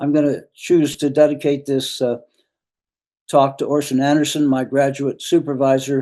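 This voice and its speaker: Monotone and flat, a man's intonation barely moves. He speaks with an American accent at a moderate pace. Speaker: retired professor. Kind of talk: lecture. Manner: halting.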